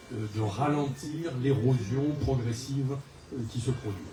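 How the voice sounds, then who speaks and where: With ordinary pitch variation, the voice comes through audible room echo and noticeable background noise. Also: man. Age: 70s. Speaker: local election candidate, retired executive. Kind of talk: public self-introduction speech. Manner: hesitant, many fillers.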